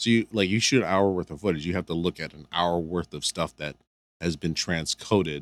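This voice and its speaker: A man with a Midwestern American accent speaks fairly quickly at a very deep, low pitch, with ordinary pitch variation and big swings in loudness. The recording is very clean, with a silent background and a dry, close sound with no echo. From Michigan, US (Canton, near Detroit). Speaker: music video director. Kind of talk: casual chat.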